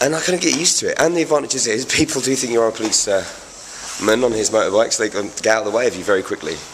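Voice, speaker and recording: Over noticeable background noise, a man with an English accent talks at a very fast pace and medium pitch with lively intonation. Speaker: motorcycle reviewer. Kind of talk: video review.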